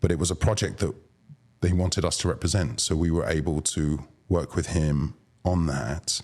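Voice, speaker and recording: A man with a British accent talks at a moderate pace in a very deep, low pitch with vocal fry. His pitch variation is ordinary. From London, England. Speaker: arts booking agent. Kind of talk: podcast interview.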